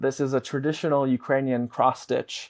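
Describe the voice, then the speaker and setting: The speaker, with an American accent, goes at a fairly quick pace in a very clean recording with a silent background. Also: man. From Chicago, US Midwest. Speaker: advocacy director and former radio journalist. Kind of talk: interview. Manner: frequent fillers and restarts.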